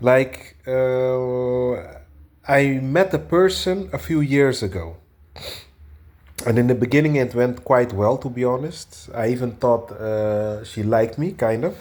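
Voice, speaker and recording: A man with a Portuguese accent speaks at a fairly slow pace, leaving long, frequent pauses. His intonation is lively. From Portugal. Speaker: video blogger. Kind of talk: casual monologue. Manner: halting, many fillers.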